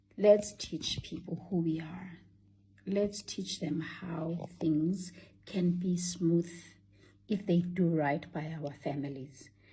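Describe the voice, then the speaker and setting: A woman talks at a very slow pace, her pitch fairly low. Her tone is dark and mellow, somewhat breathy, with fairly even intonation. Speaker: vlogger. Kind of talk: casual monologue.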